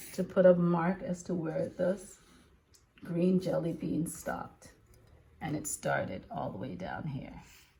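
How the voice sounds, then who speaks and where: A woman with a fairly low pitch talks at a fairly slow pace with long, frequent pauses, fairly even intonation and big swings in loudness, over noticeable background noise. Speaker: elementary school teacher. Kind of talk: children's lesson video.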